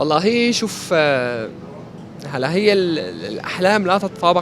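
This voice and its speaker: A man speaks with an Aleppo accent. His pace is fairly slow, with music in the background. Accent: Aleppo Syrian Arabic. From Syria, Aleppo (eastern districts). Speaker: amputee interviewee, former radio presenter. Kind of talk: interview. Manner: halting, with frequent repetitions.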